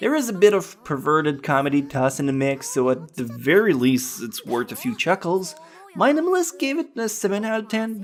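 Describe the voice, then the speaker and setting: A fairly quick pace in a French Canadian accent, with music in the background. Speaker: anime reviewer. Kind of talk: casual review talk to camera.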